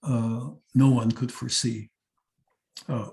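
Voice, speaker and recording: A man speaks at a medium pitch, varying it in an ordinary way. Vocal fry runs through his voice. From Netherlands. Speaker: psychiatrist and Holocaust survivor. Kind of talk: testimony talk. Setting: seminar talk to teachers. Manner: halting, frequent uh fillers.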